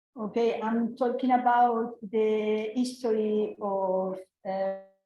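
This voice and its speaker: A woman with a Spanish accent speaks at a very slow pace in a fairly high voice. Her tone is dark and mellow, her intonation monotone and flat. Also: long, frequent pauses. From Spain. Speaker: law professor. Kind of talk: panel talk. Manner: halting.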